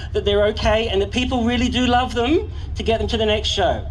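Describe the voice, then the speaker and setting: Noticeable background noise accompanies a speaker with an Australian accent. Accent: Australian, noticeable to locals. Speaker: event announcer. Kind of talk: live crowd hosting. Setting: outdoor event with crowd in stands, PA system. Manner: animated.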